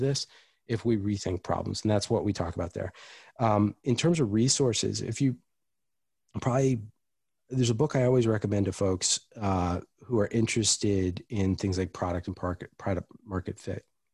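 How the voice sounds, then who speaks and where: A man's fairly low, somewhat breathy voice with an American accent and ordinary pitch variation, dry and close with no echo on a very clean recording with a silent background. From US East Coast, Washington DC. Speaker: chief experience officer, product designer. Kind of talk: interview.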